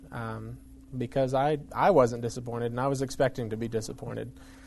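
A man with a plain, everyday voice speaks with fairly even intonation. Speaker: ministry staff member, former police department worker. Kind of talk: casual interview.

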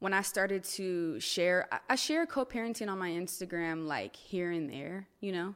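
Pitched at a medium level, a woman talks with a Californian accent. Her pace is moderate, and her pitch variation is ordinary. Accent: Californian American. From Northern California (Stockton). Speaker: life and wellness coach. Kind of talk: casual chat. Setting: studio.

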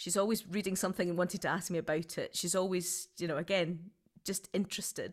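On a very clean recording with a silent background, a woman with a Scottish accent talks at a fairly quick pace and a medium pitch. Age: 40s. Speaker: writer, performer and creative director. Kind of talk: interview.

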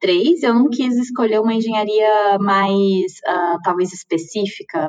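An unremarkable speaking voice at a fairly slow pace with hardly any pauses. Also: woman. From Minas Gerais, Brazil (Uberlândia). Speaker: chemical engineer working in automation. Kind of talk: casual interview.

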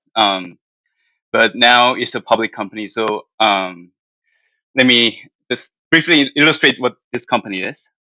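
With a Korean accent and a bright, sharp tone, a man speaks at medium pitch with ordinary pitch variation, a fairly slow pace and long, frequent pauses, in a dry, close sound with no echo. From South Korea. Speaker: financial analyst. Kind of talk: interview answers.

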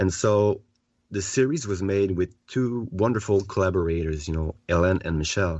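A man speaks in a French accent with a very deep, low pitch. His pace is moderate and his pitch variation ordinary. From Quebec. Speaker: children's author and therapist. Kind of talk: interview. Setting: remote call from home.

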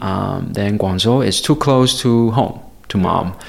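A man with a Chinese accent speaks with ordinary pitch variation. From China, Guiyang. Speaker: photographer. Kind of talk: interview.

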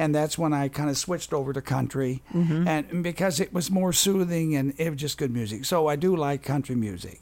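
In a plain, everyday voice, a man with an American accent speaks at a fairly high pitch on a very clean recording with a silent background. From Wisconsin. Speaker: accordion player. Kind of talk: casual chat.

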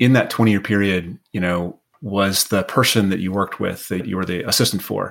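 An ordinary speaking voice from a man, fairly low in pitch, fairly quick and fairly even in intonation, with hardly any pauses. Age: 50s. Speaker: podcast host. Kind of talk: scripted intro narration; casual interview chat.

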